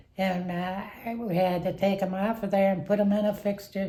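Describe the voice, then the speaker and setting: With a dark, mellow tone that is somewhat breathy, a woman speaks at medium pitch in a monotone, flat intonation. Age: 80s+. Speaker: retired factory worker. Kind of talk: interview answer.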